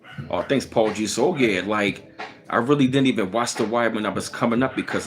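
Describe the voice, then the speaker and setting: Music plays in the background as a man speaks at a very fast pace with a fairly low pitch. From Baltimore, Maryland. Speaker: livestream host. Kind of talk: casual livestream chat. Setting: live stream. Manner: casual, conversational.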